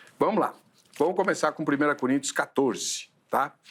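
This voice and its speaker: An ordinary speaking voice from a man, pitched fairly high, its pitch varying in an ordinary way. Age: 60s. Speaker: pastor and theological debate show host. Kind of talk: theological debate.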